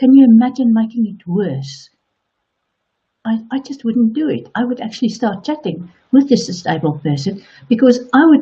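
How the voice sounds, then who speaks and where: Her South African accent comes with a fairly high pitch for a woman, very wide pitch swings, a somewhat breathy quality and a moderate pace. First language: Afrikaans. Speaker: online coach. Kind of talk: motivational talk.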